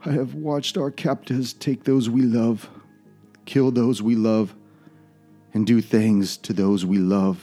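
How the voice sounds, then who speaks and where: Over faint music in the background, a man puts on a character voice that is shaky and soft-spoken, at a medium pitch and a fairly slow pace, with long, frequent pauses. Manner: soft, trembling.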